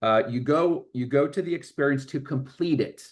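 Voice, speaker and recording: Speaking in a plain, everyday voice, a man keeps a moderate pace and ordinary pitch variation. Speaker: workshop presenter, coach. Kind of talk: workshop talk. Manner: repetitive false starts.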